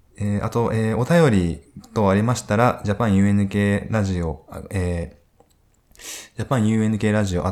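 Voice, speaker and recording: Fairly low male speech, its pitch rising and falling in an ordinary way. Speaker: radio host. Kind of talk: casual live-streamed interview. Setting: live stream from hotel studio. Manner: hesitant, filler-heavy.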